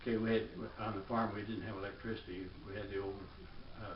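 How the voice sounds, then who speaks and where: Amid audible room echo, a man with a fairly low pitch speaks at a fairly quick pace in a monotone, flat intonation. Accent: American. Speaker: war veteran. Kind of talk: oral history interview. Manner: halting, frequent uh fillers.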